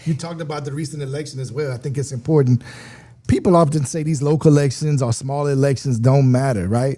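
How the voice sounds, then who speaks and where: A man with a Louisiana accent talks very fast at a fairly high pitch. His tone is dark, mellow and somewhat breathy, his intonation fairly even. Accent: southern US (Louisiana). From Louisiana, Lafayette. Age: 40s. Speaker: state legislator. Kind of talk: interview.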